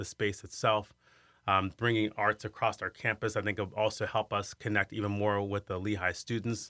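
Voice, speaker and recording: An American-accented man with a fairly low pitch and a bright, sharp tone speaks at a moderate pace, in a dry, close sound with no echo on a very clean recording with a silent background. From Iowa, US Midwest. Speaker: arts center director, former opera singer. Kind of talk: interview.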